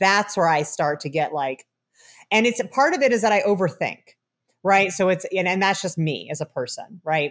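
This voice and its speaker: In a very clean recording with a silent background, a woman with an American accent speaks at a moderate pace. She has an unremarkable speaking voice at medium pitch with lively intonation. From Chicago area, US Midwest. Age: 40s. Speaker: cannabis researcher and professor. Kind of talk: interview.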